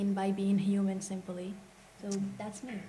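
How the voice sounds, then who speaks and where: Audible room echo and noticeable background noise around a woman speaking at a moderate pace. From Morocco. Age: 20s. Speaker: climate justice activist. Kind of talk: panel discussion.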